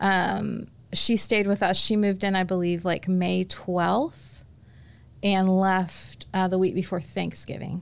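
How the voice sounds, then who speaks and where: In a very clean recording with a silent background, a woman with an American accent talks at medium pitch in a monotone, flat delivery at very even loudness. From Indianapolis, Indiana, US Midwest. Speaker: leadership consultant. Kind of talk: casual chat.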